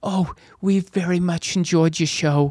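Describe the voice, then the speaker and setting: A man puts on a character voice with a British accent, high in pitch and monotone at a moderate pace. The sound is dry and close, with no echo. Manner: polite, faked accent.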